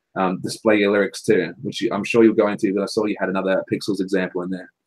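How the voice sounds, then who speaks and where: Speaking at a very fast pace with an Australian accent, a man is heard in a dry, close sound with no echo. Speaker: songwriter and podcast co-host. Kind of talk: casual chat.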